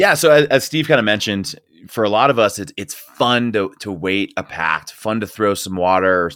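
A man with an American accent speaks in an unremarkable speaking voice at a fairly low pitch and moderate pace. The recording is very clean, with a silent background. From US Northeast. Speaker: mountain guide and strength coach. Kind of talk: interview.

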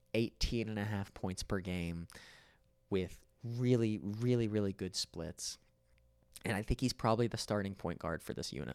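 An American accent at a moderate pace, with ordinary pitch variation and long, frequent pauses, on a very clean recording with a silent background and a dry, close sound with no echo. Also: man, fairly low pitch for a man. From West Virginia. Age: 20s. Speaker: podcast host. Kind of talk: solo podcast monologue. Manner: casual.

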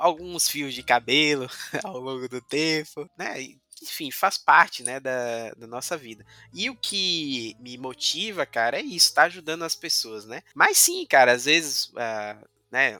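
A man with an unremarkable speaking voice and a fairly high pitch talks at a fairly slow pace with ordinary pitch variation. His loudness swings widely, and the sound is dry and close with no echo. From Bahia, Brazil (Cachoeira, Recôncavo Baiano). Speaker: blockchain validator pool co-owner and developer. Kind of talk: casual interview. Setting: studio.

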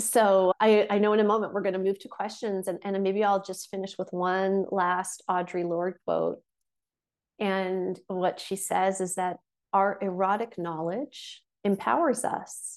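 A woman speaks at a fairly slow pace in an ordinary speaking voice, medium in pitch with fairly even intonation, against a quiet background. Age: 40s. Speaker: intimacy and meditation teacher. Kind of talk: online workshop talk.

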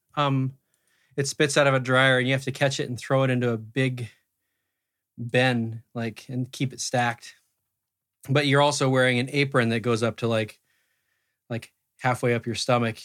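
A man with an American accent at a moderate pace, monotone and flat in intonation, on a very clean recording with a silent background. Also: medium pitch for a man. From US Pacific Northwest, Roseburg, Oregon. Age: 40s. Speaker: musician. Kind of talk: casual interview chat.

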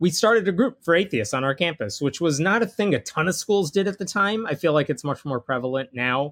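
A man with a normal speaking voice, lively intonation and a moderate pace, in a dry, close recording with no echo. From Indian-American family, raised in Jain religion. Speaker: atheist author and blogger. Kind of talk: casual interview conversation.

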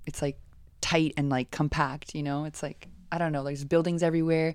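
Very fast in pace, a woman with a fairly low voice speaks on a very clean recording with a silent background. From Latin America, moved every three years. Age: 20s. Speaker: freelance photographer. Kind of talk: casual chat. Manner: animated, fast.

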